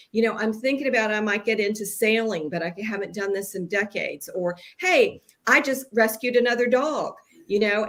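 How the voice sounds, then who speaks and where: Fairly high in pitch, a woman speaks in a plain, everyday voice with ordinary pitch variation. Her pace is fairly quick. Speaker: business founder. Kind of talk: casual chat.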